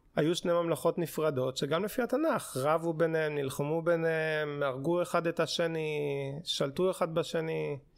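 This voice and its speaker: In an ordinary speaking voice, a man talks at a fairly high pitch with fairly even intonation, very even loudness and a fairly slow pace. The recording is very clean, with a silent background. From Israel, religious community. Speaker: podcast co-host, doctoral student in archaeology. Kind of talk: casual chat; explaining history.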